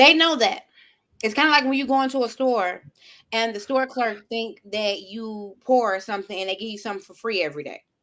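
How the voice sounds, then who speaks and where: Bright and sharp in tone, a woman talks at a fairly quick pace in a fairly high pitch, with lively intonation and big swings in loudness, on a very clean recording with a silent background. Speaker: life coach. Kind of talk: casual chat. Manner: fast.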